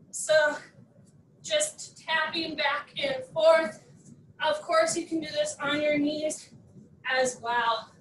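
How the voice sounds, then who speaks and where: A woman with a high pitch and an upbeat tone speaks at a very slow pace with long, frequent pauses and ordinary pitch variation, with audible room echo and light background noise. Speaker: fitness instructor. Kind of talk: live workout class instruction. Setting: video workout class. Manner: brisk, upbeat, cueing in short commands; animated, encouraging. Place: home room.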